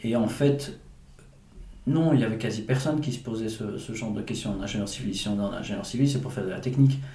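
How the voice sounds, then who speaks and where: Speaking at a very fast pace, a man has a medium pitch with ordinary pitch variation. Audible room echo and noticeable background noise are present. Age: 40s. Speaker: entrepreneur and engineer. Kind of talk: interview. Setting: manor house. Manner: halting.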